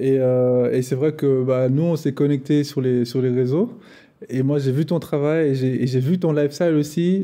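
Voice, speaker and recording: A man speaks at a fairly high pitch with a dark, mellow tone and ordinary pitch variation. His pace is moderate and the background quiet. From Switzerland, Geneva. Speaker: podcast host and filmmaker. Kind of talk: interview.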